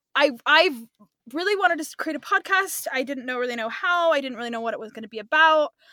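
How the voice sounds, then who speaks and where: A woman's raised, projected voice races along at a very fast pace, high-pitched with a bright, sharp tone, lively intonation and big swings in loudness. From California. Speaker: podcast host, student teacher. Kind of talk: casual chat.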